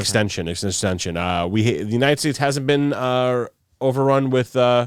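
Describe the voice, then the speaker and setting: A man speaks in a normal speaking voice at a medium pitch. His pitch variation is ordinary, and the recording is very clean with a silent background. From New York. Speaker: podcast host. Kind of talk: casual podcast talk.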